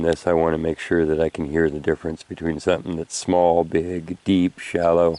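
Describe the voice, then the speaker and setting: A man mumbling at a fairly quick pace, very deep and low in pitch, with a dark, mellow tone, flat monotone intonation and a dry, close sound with no echo. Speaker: metal detecting hobbyist. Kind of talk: outdoor tutorial vlog. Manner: casual, filler-heavy.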